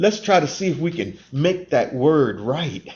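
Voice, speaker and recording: At a very slow pace, a man talks with lively intonation. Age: 70s. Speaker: Baha'i community member reflecting on faith and race. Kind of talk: interview conversation. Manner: earnest, with repeated words and false starts.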